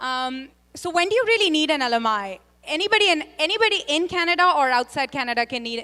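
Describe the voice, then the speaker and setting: Raising and projecting her voice, a woman talks very fast with very wide pitch swings and a bright, sharp tone. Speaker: immigration consultant. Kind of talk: panel discussion.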